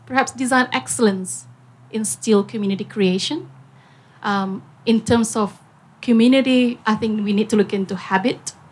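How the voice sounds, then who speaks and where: Moderate in pace, the delivery has ordinary pitch variation. The voice sounds somewhat breathy. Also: woman, fairly high pitch for a woman. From Singapore. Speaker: business owner. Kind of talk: panel talk.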